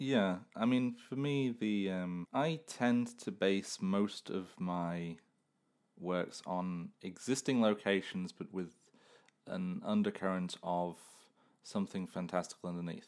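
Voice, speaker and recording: Speaking at a very slow pace, a man has an English Midlands accent and a fairly low pitch. His pitch varies in an ordinary way, and the recording is very clean with a silent background. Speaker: podcast host and amateur writer. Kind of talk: casual chat; improvised storytelling.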